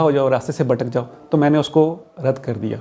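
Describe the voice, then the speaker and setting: A man talks with a fairly high pitch. Noticeable background noise runs behind him. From Abbottabad, Pakistan. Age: 40s. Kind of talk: interview answer.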